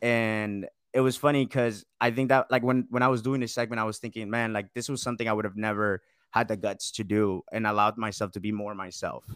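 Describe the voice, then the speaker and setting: A man with an American accent speaks at medium pitch and a fairly quick pace in a plain, everyday voice. The recording is very clean with a silent background and a dry, close sound with no echo. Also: fairly even intonation. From US South, Georgia (Marietta). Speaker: radio producer. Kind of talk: casual interview.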